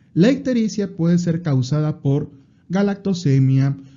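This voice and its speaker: A somewhat breathy man's voice at a fairly slow pace, with ordinary pitch variation. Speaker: medical exam prep podcast host. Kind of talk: educational lecture.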